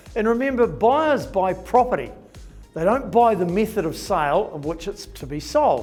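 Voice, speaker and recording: A man at a high pitch for a man, with very wide pitch swings, big shifts in loudness and a moderate pace, over music in the background. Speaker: auctioneer, national auction manager. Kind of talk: corporate update talk to camera.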